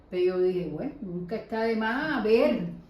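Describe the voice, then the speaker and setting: Noticeable background noise and audible room echo accompany a voice with ordinary pitch variation. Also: woman. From Cuba. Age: 60s. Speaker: nanny, immigrant interviewee. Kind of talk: casual interview.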